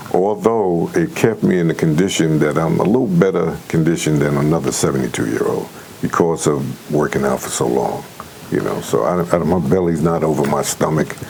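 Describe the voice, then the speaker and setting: A man with a very deep, low pitch, ordinary pitch variation and a moderate pace, over noticeable background noise. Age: 70s. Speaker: retired correctional officer and concert promoter. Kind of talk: interview. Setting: studio. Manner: hesitant, with many fillers.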